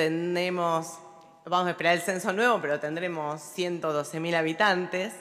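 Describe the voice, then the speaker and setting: A woman's fairly low, fairly slow voice with fairly even intonation. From Olavarría, Buenos Aires Province, Argentina; Buenos Aires Province, Argentina. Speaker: local politician; city councillor. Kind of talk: formal speech. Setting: legislative chamber. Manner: halting, with many fillers. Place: hall. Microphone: podium.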